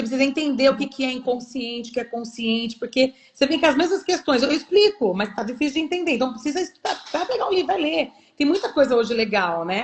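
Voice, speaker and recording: Speaking at a very fast pace, a woman with a high pitch makes very wide pitch swings. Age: 40s. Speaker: physiotherapist. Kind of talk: live interview. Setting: live stream.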